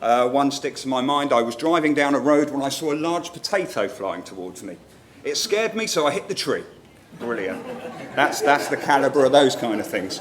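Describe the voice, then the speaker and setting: In a southern English accent, a man with a fairly high pitch speaks at a moderate pace with very wide pitch swings, amid audible room echo and noticeable background noise. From northern England, Newcastle upon Tyne. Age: middle-aged. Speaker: marketing manager, conference speaker. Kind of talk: conference talk. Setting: stage with audience. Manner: informal, humorous.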